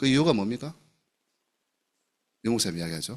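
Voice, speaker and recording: A man races along at a very fast pace, his medium-pitched voice making very wide pitch swings. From South Gyeongsang, Namhae county, Korea. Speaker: pastor. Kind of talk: sermon. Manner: animated.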